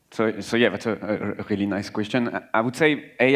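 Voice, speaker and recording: A man's medium-pitched voice with a French accent, fairly even intonation, a moderate pace, and a quiet background. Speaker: cybersecurity manager. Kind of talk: panel discussion.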